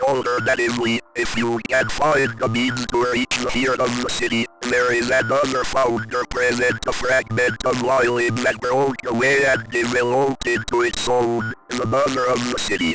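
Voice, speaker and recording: A man puts on a character voice, talking at a moderate speed and a medium pitch. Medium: solo performance. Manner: detached, skeptical.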